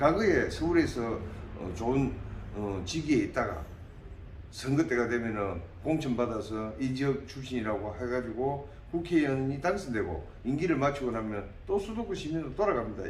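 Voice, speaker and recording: Very wide pitch swings mark this man's speech at a moderate pace. Noticeable background noise and audible room echo are present. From South Korea, Namhae, South Gyeongsang. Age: 60s. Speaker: parliamentary candidate, dentist. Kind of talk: interview.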